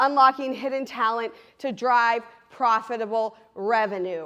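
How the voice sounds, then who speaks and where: A woman uses a raised, projected voice with an animated tone. She speaks at a fairly slow pace. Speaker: trades business co-owner, conference speaker. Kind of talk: conference presentation. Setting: stage with audience. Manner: loud.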